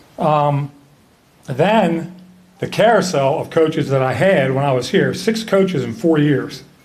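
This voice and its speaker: A man with a fairly high pitch talks at a fairly slow pace with lively intonation, over noticeable background noise and audible room echo. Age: 70s. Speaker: hall of fame inductee, former basketball player and referee. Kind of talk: acceptance speech. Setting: ceremony with audience.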